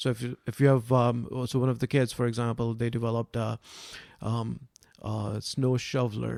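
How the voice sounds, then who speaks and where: In a dry, close sound with no echo, a man talks at a moderate pace with a monotone, flat intonation. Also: medium pitch for a man. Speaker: science club founder. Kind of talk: podcast interview. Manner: soft-spoken; hesitant with fillers.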